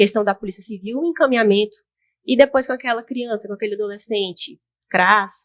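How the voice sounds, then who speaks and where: A woman's fairly high-pitched voice at a moderate pace, with ordinary pitch variation. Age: 20s. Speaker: highway police officer. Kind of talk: interview. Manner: halting.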